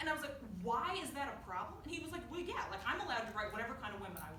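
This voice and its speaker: A woman with an American accent talks at a very fast pace, her pitch swinging very widely. Noticeable background noise and audible room echo fill the recording. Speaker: student speaker. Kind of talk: student talk to an audience. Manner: loud; casual, filler-heavy.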